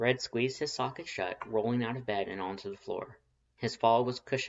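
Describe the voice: Just plain reading aloud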